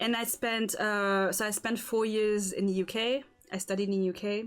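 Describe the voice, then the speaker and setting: A woman with an American accent at a medium pitch, moderate pace and ordinary pitch variation, on a very clean recording over a silent background. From Singapore. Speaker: podcast host. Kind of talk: casual chat. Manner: halting.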